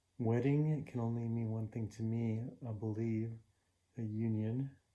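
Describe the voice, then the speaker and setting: A man mumbles at a fairly slow pace with a medium pitch and a dark, mellow tone. His intonation is monotone and flat. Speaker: puzzle-solving YouTuber. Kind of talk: casual solo commentary while solving puzzles. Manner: mumbling; halting, many fillers.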